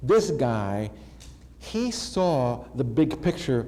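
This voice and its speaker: Audible room echo around a man speaking in an American accent. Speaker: keynote speaker. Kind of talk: keynote speech. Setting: conference stage with audience. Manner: animated.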